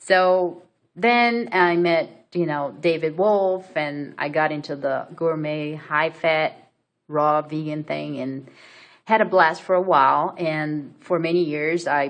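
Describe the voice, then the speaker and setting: A woman with a Brazilian accent at a very deep, low pitch, ordinary pitch variation and a very slow pace. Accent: Brazilian accent, non-native English. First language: Portuguese. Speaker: vlogger. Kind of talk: personal story vlog. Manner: hesitant, many fillers.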